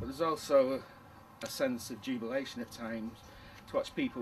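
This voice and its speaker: A man talks at a fairly quick pace. He speaks in a Manchester accent. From northern England, Manchester. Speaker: retired teacher turned artist. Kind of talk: documentary interview. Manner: halting.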